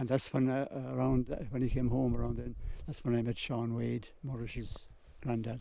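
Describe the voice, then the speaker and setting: A man speaks with a Waterford accent at a moderate pace. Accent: Irish, Waterford. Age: 80s+. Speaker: local elder sharing family history. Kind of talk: oral history interview. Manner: halting.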